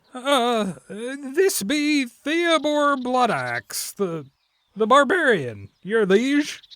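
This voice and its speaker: In a put-on character voice pitched extremely high for a man, he speaks at a very slow pace with lively intonation. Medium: audio drama. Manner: hesitant, stammering.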